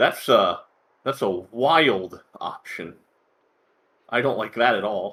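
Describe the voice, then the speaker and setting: Speaking with an American accent, a man talks at a very slow pace. Long, frequent pauses break up his speech. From United States. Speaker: game commentator. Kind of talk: live commentary.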